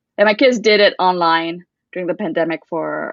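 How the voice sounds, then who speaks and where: A woman with a medium pitch and ordinary pitch variation talks at a moderate pace. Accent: American. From US, Vietnamese refugee community. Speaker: children's book author. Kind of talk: interview conversation. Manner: halting, many restarts.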